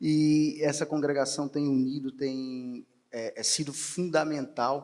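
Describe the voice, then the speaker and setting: Over music in the background, a man speaks very slowly in a fairly high pitch with monotone, flat intonation. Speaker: federal attorney, panel speaker. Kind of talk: unscripted conference talk. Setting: conference hall with audience. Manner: improvised, some hesitations.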